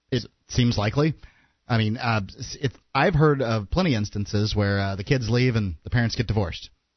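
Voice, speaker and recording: A man's medium-pitched, somewhat breathy voice at a fairly quick pace, with ordinary pitch variation and long, frequent pauses. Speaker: radio co-host. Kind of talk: casual radio chat.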